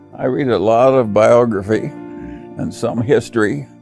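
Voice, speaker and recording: There is music behind this man's voice. He talks with an American accent. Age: old. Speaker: investor and business executive. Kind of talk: speech or interview answers on investing.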